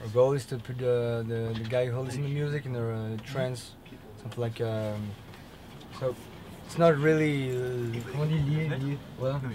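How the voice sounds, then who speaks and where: A man with a French accent and medium pitch speaks at a moderate pace with fairly even intonation. Long, frequent pauses break his speech, and audible room echo is present. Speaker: metal band member. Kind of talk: interview. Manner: halting.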